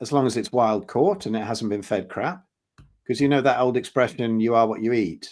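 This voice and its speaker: A man with a plain, everyday voice speaks at medium pitch and a moderate pace with lively intonation, on a very clean recording with a silent background. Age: 60s. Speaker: health consultant and drummer. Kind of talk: podcast interview.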